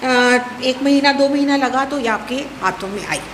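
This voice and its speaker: Noticeable background noise runs through the clip, and audible room echo can be heard. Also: woman. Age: 70s. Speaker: poet speaking at a book launch. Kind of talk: speech at a poetry gathering.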